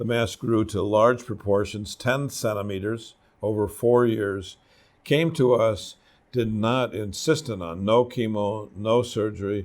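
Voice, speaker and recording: In a very clean recording with a silent background, a man with a plain, everyday voice talks at a fairly slow pace, his fairly low pitch showing ordinary variation. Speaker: doctor presenting patient cases. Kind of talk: medical case presentation of slides.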